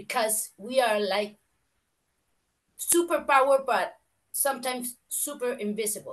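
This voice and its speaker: Someone speaks very slowly with a Spanish accent. The intonation is lively. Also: woman. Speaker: fashion and costume designer. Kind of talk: online round table contribution. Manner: halting.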